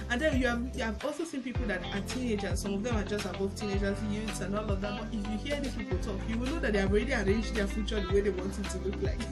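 A woman at a very fast pace over loud background music. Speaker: relationship vlogger. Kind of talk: casual teaching talk. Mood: cheerful, laughing at times. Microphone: phone near.

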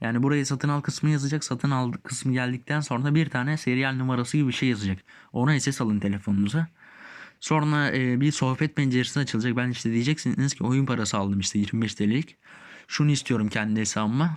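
Against a quiet background, a man with a medium pitch and ordinary pitch variation talks at a fairly quick pace with very even loudness. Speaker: gaming youtuber. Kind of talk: tutorial. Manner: halting.

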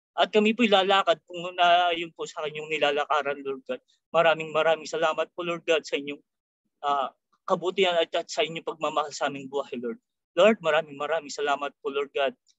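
At a fairly quick pace and with fairly even intonation, the voice comes through as a dry sound with no echo over a quiet background. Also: man, fairly high pitch for a man. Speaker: prayer leader. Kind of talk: prayer. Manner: halting. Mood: reverent, earnest. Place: home room. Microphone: webcam.

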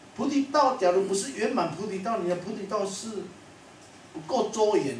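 Moderately paced man's voice with audible room echo and light background noise. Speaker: monastic teacher. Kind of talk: sermon. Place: classroom.

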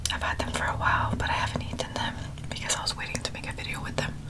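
Soft-spoken and whispering, a woman rushes along at a very fast pace. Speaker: food video host. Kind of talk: casual eating vlog chat. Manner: close, soft whisper over crinkling foil. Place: home room.

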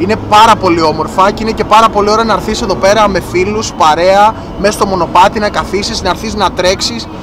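With noticeable background noise and a dry sound with no echo, a man speaks at a fairly quick pace. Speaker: vlogger. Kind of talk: casual vlog chat. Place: car.

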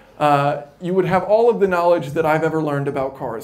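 Using a normal speaking voice with an American accent, a man talks at a fairly quick pace, fairly high in pitch, with fairly even intonation. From United States. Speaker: YouTube educator; presenter. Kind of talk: conference talk. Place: hall.

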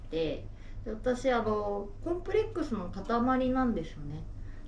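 A woman speaking at a fairly slow pace, with audible room echo and light background noise. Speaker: interviewee. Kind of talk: interview answer. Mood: candid, slightly shy. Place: home room.

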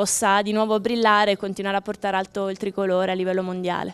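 A woman speaks here. Her delivery stays monotone, with flat intonation. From Abruzzo, Italy. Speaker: former Olympic gymnast, coach; coach. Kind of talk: live TV interview. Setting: outdoors at sporting event. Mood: warm, smiling. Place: open country. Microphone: handheld.

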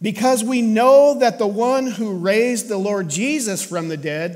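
In a high voice with ordinary pitch variation, a man speaks over a quiet background. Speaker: pastor. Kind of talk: scripture reading in sermon. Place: church.

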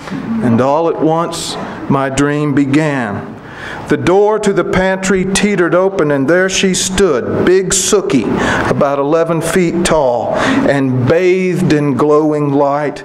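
Noticeable background noise sits behind a man speaking at a very slow pace. His pitch variation is ordinary. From Kentucky. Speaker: poet. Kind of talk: poetry reading. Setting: stage with audience. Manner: measured, unhurried, warmly conversational between poems; wry, gently humorous delivery with chuckles, dropping into a storyteller's cadence. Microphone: podium.

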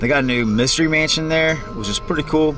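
Faint music plays in the background as a man talks at a moderate pace in a dry sound with no echo. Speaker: vlogger. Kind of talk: casual vlog chat. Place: car. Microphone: phone near.

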